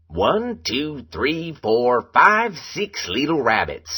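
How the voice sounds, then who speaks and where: In a put-on character voice, a man speaks very slowly at a fairly high pitch. His pitch swings very widely. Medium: read story.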